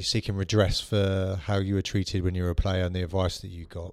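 A man's fairly low voice at a fairly quick pace, an unremarkable speaking voice. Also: very clean recording, silent background. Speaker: podcast host. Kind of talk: interview conversation.

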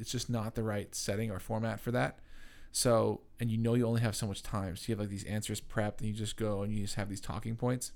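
At a fairly quick pace, a man is talking. His voice sits at a medium pitch. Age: 20s. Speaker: podcast co-host. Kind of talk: casual chat. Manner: animated.

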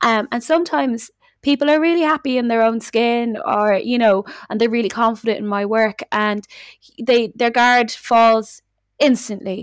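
A fairly high-pitched woman with a Dublin accent speaks at a moderate pace on a very clean recording with a silent background. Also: ordinary pitch variation. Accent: Dublin Irish. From Dublin, Ireland. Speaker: musician or artist, also runs a studio. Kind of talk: casual chat, podcast interview. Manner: changes accent to match the listener.

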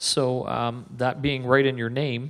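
A man with a normal speaking voice talks at a medium pitch with fairly even intonation. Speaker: radio host. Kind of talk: casual interview. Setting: conference venue, live recording.

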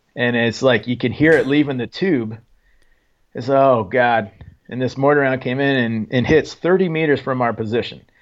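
A man speaks in an ordinary speaking voice with an American accent, at medium pitch. His pace is moderate and his pitch variation ordinary. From Oregon, small logging town. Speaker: Special Forces soldier, author. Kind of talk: interview, war testimony.

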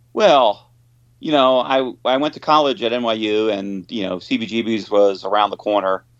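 A man talks with a New York accent. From Long Island, New York. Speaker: rock guitarist. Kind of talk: interview. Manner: halting.

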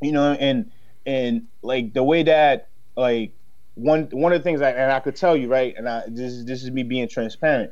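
A man talks at a moderate pace in a normal speaking voice. His pitch is medium, with ordinary variation. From Haiti, raised in Dorchester, Boston. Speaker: commercial real estate broker and entrepreneur. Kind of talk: casual chat.

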